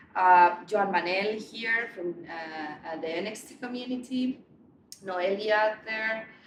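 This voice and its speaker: In a room with audible echo, a woman speaks at a very slow pace and medium pitch, with ordinary pitch variation and big swings in loudness. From Spain (Barcelona). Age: 40s. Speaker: meetup organizer and marketing head. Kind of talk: event introduction speech. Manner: hesitant, many fillers and repeats.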